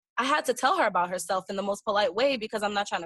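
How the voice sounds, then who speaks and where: A woman speaks at a very fast pace with ordinary pitch variation. The sound is dry and close with no echo. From Brooklyn, New York. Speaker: interview guest. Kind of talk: casual interview.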